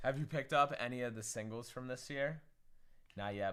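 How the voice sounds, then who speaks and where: In a very clean recording with a silent background, a man speaks in a bright, sharp, animated tone. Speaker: card breaker streamer. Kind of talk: livestream pack opening.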